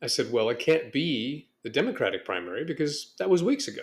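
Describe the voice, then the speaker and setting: A man talks at a moderate pace with a fairly high pitch. His voice has vocal fry and very wide pitch swings. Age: 60s. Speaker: podcast host. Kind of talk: casual monologue podcast.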